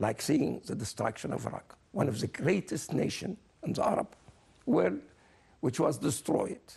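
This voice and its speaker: This man has a dark, mellow tone with vocal fry at a medium pitch. He talks at a moderate pace with very wide pitch swings and long, frequent pauses. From Egypt, raised in Germany from age twelve. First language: German. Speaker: scientist interviewed on TV. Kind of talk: TV interview. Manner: animated.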